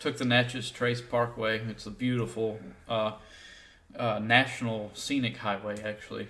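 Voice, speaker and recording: With a strong Southern US accent, a man speaks at a moderate pace and medium pitch, his tone bright and sharp but his intonation flat and monotone. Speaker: podcast co-host. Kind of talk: casual chat.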